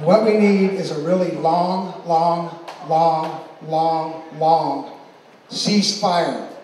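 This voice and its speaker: A high-pitched man speaking very slowly with fairly even intonation, amid audible room echo and noticeable background noise. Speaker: event emcee. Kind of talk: award presentation speech. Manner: relaxed, calm tone.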